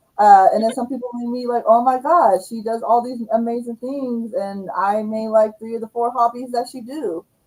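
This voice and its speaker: A woman speaks at a moderate pace with hardly any pauses, her intonation fairly even but her loudness swinging widely. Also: fairly high pitch for a woman. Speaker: livestream host, YouTube coach. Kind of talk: casual livestream chat.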